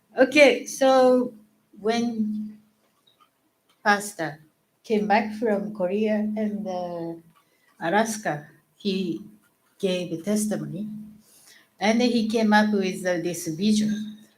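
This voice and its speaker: A somewhat breathy woman's voice at medium pitch, with a Japanese accent, a very slow pace, long, frequent pauses and audible room echo. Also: ordinary pitch variation. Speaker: church member. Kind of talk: testimony. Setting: church stage with congregation.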